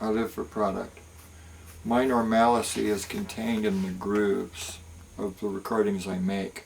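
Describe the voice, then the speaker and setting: A man's fairly low voice at a fairly slow pace with fairly even intonation. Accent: American. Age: 60s. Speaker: music producer. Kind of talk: casual talk to camera.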